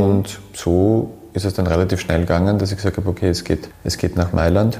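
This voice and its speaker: At a very fast pace, a man speaks with a very deep, low pitch and monotone, flat intonation. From Austria, Graz. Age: 30s. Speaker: hairdresser and salon owner. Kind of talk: interview. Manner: halting, many repetitions.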